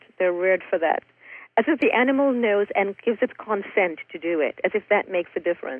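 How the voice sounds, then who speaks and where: A woman speaks in an ordinary speaking voice at a medium pitch. Her intonation is lively and her pace fairly quick. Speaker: author and raw food chef. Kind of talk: casual interview.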